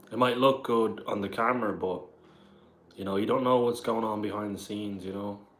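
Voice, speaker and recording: A man with a southern Irish accent talks at a fairly quick pace in a fairly low pitch, with fairly even intonation and audible room echo. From Ireland, Dublin area. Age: 20s. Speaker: live streamer. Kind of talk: casual chat. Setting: live stream on camera. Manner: casual.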